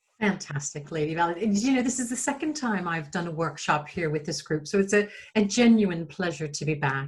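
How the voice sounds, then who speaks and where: A woman with an American accent, a fairly low pitch, a somewhat breathy voice, a fairly quick pace, and ordinary pitch variation. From United States. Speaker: digital marketing agency owner, workshop presenter. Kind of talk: webinar presentation. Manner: fast-paced.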